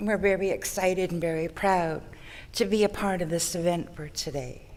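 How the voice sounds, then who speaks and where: Audible room echo, a moderate pace and fairly even intonation. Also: woman, fairly low pitch for a woman. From Songhees Nation, Victoria, British Columbia. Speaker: First Nations community member. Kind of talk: ceremonial welcome speech. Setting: ceremony at a conference centre.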